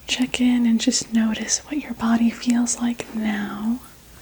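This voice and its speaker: A woman's fairly high, gentle voice, flat and monotone, against noticeable background noise. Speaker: reiki energy healer. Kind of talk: ASMR energy healing roleplay. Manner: soft-spoken, gentle.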